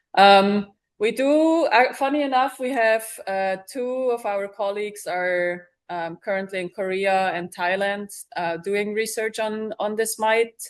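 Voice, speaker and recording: A woman with a non-native accent, medium pitch, ordinary pitch variation and a fairly slow pace. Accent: noticeable foreign. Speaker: bee researcher. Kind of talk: audience Q&A answers. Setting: live event with audience and Zoom stream. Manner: hesitant, many filler words.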